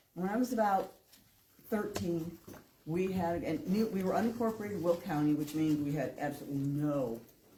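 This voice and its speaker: A woman speaks at a fairly quick pace and a fairly low pitch with lively intonation. She leaves long, frequent pauses, and audible room echo surrounds her voice. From northern Illinois, US Midwest. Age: 60s. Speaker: public commenter. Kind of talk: public comment at meeting.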